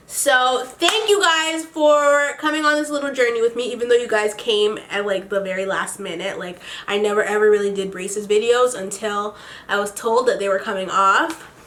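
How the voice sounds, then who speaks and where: Over noticeable background noise, a woman with a fairly high pitch speaks at a moderate pace in an animated tone with lively intonation. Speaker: beauty vlogger. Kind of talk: casual vlog monologue.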